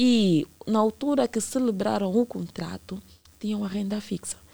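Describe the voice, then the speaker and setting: An ordinary speaking voice goes at a fairly slow pace with ordinary pitch variation. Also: woman. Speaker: consumer rights legal expert. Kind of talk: radio interview.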